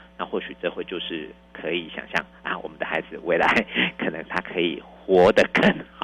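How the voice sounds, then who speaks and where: A man speaks at a moderate pace with big swings in loudness. Music plays in the background. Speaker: primary school principal. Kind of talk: interview. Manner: halting.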